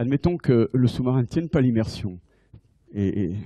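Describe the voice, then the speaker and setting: Over a quiet background, a man speaks at a moderate pace in a medium pitch, his dark, mellow tone somewhat breathy and his intonation lively. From France. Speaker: navy admiral and submarine officer giving a conference. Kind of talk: lecture. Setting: lecture hall with audience. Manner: halting with frequent repetitions. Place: hall. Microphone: handheld.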